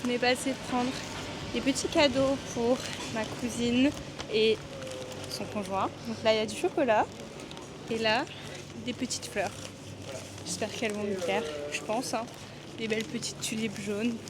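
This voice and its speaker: Long, frequent pauses break up a woman's fairly high voice, which has ordinary pitch variation. Background noise is noticeable. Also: moderate pace. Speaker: travel vlogger. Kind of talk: casual vlog chat. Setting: in bed at cousin's house. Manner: hesitant, many fillers; whispering.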